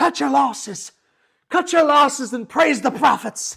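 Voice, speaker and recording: The speaker uses a put-on character voice. It is high in pitch and keeps a moderate pace. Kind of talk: sermon cadence with comic mock-piety. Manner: preaching, sermonizing.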